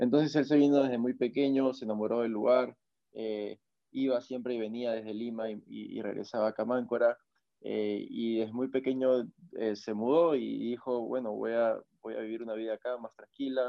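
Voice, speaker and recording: In a medium-pitched voice, a man speaks in a flat monotone. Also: moderate pace. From Peru, northern coast (Máncora). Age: 20s. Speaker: professional surfer. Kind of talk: interview conversation. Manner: halting, many fillers and repetitions.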